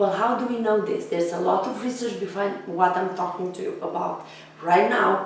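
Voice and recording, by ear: Strong room echo surrounds a raspy woman speaking at a moderate pace with fairly even intonation. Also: medium pitch for a woman.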